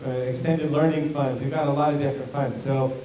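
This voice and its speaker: A man speaks at a fairly high pitch. The audio has audible room echo and noticeable background noise. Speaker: school district administrator. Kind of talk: community meeting Q&A. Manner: loud.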